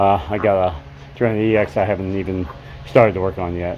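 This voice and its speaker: Over background music, a man talks very fast with ordinary pitch variation. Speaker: DIY motorcycle mechanic YouTuber. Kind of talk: casual workshop talk to camera. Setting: open garage. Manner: halting, many fillers.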